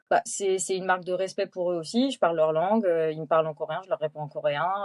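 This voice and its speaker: The sound is dry and close, with no echo. A woman with a fairly low voice talks at a very fast pace. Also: ordinary pitch variation. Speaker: French teacher, expatriate. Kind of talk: casual interview. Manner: hesitant with many fillers.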